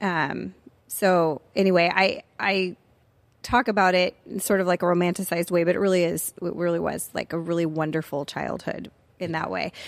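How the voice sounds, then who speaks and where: On a very clean recording with a silent background, a woman with a Californian accent speaks at a moderate pace in a fairly low pitch with fairly even intonation. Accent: Californian American English. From US West Coast, Orange County, California. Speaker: former university professor and writer. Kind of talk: casual interview about faith testimony.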